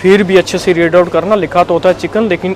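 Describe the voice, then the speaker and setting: A man talks in a high-pitched voice. Noticeable background noise runs underneath. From India. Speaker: vlogger. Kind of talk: casual talk to camera.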